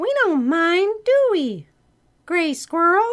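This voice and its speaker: A squeaky, put-on character voice at an extremely high pitch, delivered at a very slow pace. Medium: read story.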